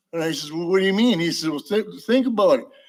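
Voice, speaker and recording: This man speaks with a Wisconsin accent and ordinary pitch variation. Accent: Upper Midwest (Wisconsin). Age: 80s+. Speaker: public commenter. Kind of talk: public comment. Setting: council meeting chamber. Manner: rambling, halting.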